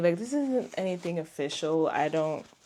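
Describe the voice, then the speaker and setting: A woman with a non-native accent speaks at a moderate pace and a fairly low pitch. Her tone is dark and mellow, and her intonation is lively. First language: not English. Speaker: knitting podcaster. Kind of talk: casual chat. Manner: animated.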